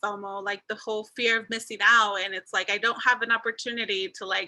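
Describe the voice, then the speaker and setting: Her tone bright and sharp, a woman speaks at a fairly high pitch. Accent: American. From Las Vegas, Nevada. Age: 30s. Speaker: community organizer. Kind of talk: panel discussion. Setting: video call.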